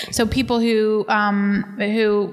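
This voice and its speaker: The intonation is monotone and flat, heard over noticeable background noise. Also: woman. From Texas. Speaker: podcast host, missionary pastor. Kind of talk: casual interview conversation. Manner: uses many filler words.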